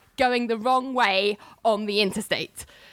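A woman's bright, sharp tone sounds dry and close with no echo as she speaks at a moderate pace. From London, UK. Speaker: podcast host. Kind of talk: storytelling, reading out old emails.

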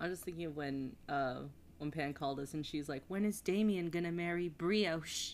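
Captured on a very clean recording with a silent background, a woman speaks at a moderate pace and a fairly low pitch with ordinary pitch variation. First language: Spanish. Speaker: podcast co-host. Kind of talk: casual chat.

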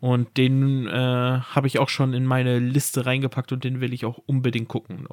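At a moderate pace with hardly any pauses, a man speaks in a medium pitch and a monotone, flat intonation, the sound dry and close with no echo. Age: 30s. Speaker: podcast co-host. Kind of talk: casual chat.

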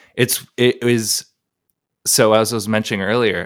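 A man speaks at a moderate pace with a fairly low pitch. He has an ordinary speaking voice. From Columbus, Ohio. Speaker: musician and producer. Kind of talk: casual interview chat.

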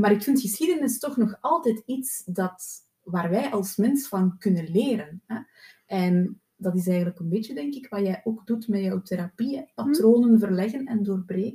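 A woman speaks at a moderate pace with a fairly high pitch and lively intonation. Her tone is dark and mellow, and somewhat breathy. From Flanders, Belgium. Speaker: podcast host, therapist. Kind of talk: interview.

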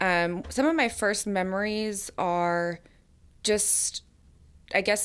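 On a very clean recording with a silent background, a woman with an American accent uses an unremarkable speaking voice and fairly even intonation. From US South, Atlanta, Georgia. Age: 30s. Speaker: recovering alcoholic sharing her story. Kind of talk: recovery testimony.

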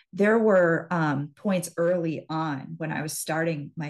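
An unremarkable speaking voice from a woman, fairly low in pitch, at a fairly slow pace with ordinary pitch variation. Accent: American. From US Midwest, central Wisconsin. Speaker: hypnotherapist and business mindset coach. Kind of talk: interview.

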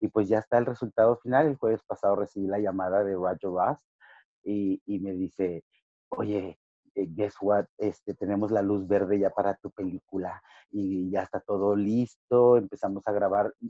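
A man's fairly low, dark and mellow voice at a moderate pace, with fairly even intonation and a dry, close sound free of echo. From Ciudad Juárez / El Paso border, Chicano. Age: 50. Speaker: professional wrestler. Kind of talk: interview.

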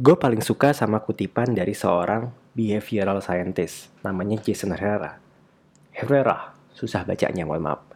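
This man has an unremarkable speaking voice and a fairly low pitch. He talks at a moderate pace with ordinary pitch variation. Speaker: podcast host. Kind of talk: casual solo monologue on a self-help book.

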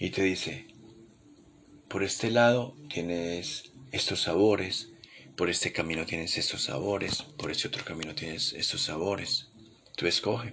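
A man with a very deep, low voice speaks soft-spoken in a calm tone, with ordinary pitch variation. His pace is fairly slow, with long, frequent pauses. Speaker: podcast host. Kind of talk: late-night reflective monologue. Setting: home living room at night. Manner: soft, intimate; calm, unhurried.

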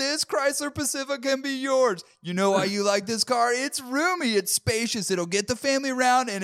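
In a put-on character voice with fairly high pitch, the speaker moves at a moderate pace with hardly any pauses. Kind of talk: commercial sales patter. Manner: cheesy hard-sell pitch.

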